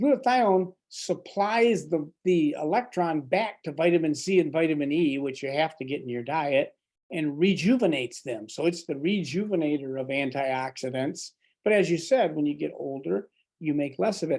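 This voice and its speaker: Over a quiet background, a normal speaking voice talks at a moderate pace with lively intonation. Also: man, fairly high pitch for a man. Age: 60s. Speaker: doctor and supplement formulator. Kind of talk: explanatory interview talk.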